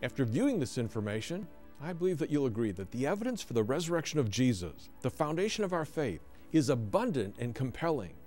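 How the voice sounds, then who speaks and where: A fairly quick pace over faint background music. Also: man. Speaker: ministry host. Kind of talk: scripted address to viewers. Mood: warm, earnest. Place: studio.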